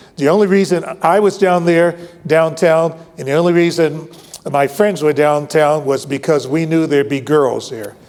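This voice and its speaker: Noticeable background noise sits behind a man with an American accent. He talks at a moderate pace with a fairly high pitch and ordinary pitch variation. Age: 70s. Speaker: retired Air Force general. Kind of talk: award acceptance speech with anecdote. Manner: halting with many fillers.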